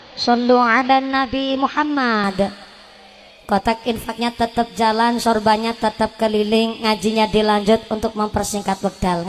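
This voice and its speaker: Over music in the background, a woman speaks at a fairly slow pace in a fairly high voice with fairly even intonation. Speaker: female Islamic preacher. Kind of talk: sermon. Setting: stage with audience, PA system. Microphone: asks sound man to remove echo effect.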